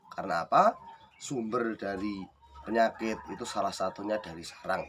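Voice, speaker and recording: Over noticeable background noise, a man speaks at a fairly low pitch and moderate pace with ordinary pitch variation and big swings in loudness. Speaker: bird breeder, video tutor. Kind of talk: tutorial. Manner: casual, conversational.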